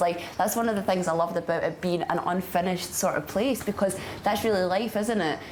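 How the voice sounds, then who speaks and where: A woman with a Scottish accent at a medium pitch, fairly quick pace and ordinary pitch variation, with audible room echo and noticeable background noise. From Scotland. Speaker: traveller in a love story. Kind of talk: casual interview. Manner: chatty, many fillers.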